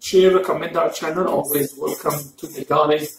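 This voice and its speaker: A man speaks at a high pitch and a moderate pace. Audible room echo is present. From Egypt, Cairo. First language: Arabic. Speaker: mukbang YouTuber. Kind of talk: casual chat. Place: home room. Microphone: camera far.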